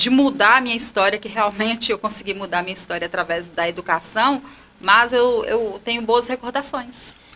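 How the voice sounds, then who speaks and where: Amid noticeable background noise, a woman speaks at a moderate pace in a fairly high pitch with ordinary pitch variation. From Brasília de Minas, northern Minas Gerais, Brazil. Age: 40s. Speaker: teacher. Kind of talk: interview about life story. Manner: conversational.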